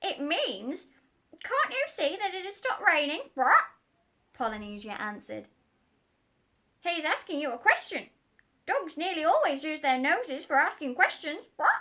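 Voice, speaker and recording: A woman puts on a high-pitched character voice. She leaves long, frequent pauses. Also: moderate pace. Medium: read story. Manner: squawks "brat" between words.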